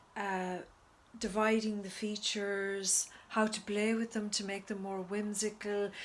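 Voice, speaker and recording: A woman's medium-pitched voice at a very slow pace. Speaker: book reviewer and writer. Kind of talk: casual video review. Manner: halting, with stutters and fillers.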